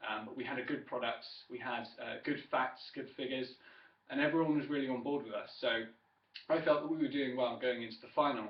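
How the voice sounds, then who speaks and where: A man's medium-pitched voice with an English accent, monotone and flat, very fast, with audible room echo. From southern England, Wiltshire. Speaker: student. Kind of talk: self-introduction speech. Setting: webcam recording. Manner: hesitant, many fillers.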